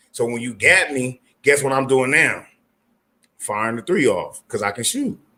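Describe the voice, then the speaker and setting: A man with an American accent speaks at a moderate pace and a fairly high pitch. His tone is animated, bright and sharp. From California. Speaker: basketball player and coach. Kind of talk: casual chat. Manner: loud.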